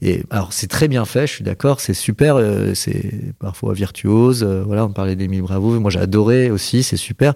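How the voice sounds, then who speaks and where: A man's unremarkable speaking voice, fairly low in pitch, with ordinary pitch variation at a moderate pace. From central France. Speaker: comic book author. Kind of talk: casual chat. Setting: live broadcast.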